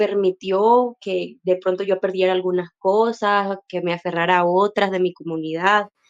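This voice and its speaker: A woman talks at a fairly slow pace in a medium pitch, her intonation flat and monotone, with a dry, close sound and no echo. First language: Wayuunaiki (speaking Spanish). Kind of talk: personal testimony in panel discussion. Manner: hesitant, many fillers.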